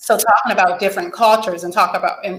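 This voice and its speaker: Her pace is very fast. The woman's pitch moves with ordinary variation. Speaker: psychologist, podcast host. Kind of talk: interview.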